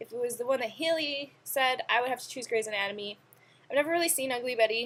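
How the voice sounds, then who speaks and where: A woman with a high pitch and an animated tone speaks very fast, with ordinary pitch variation and big swings in loudness. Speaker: vlogger. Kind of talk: casual chat.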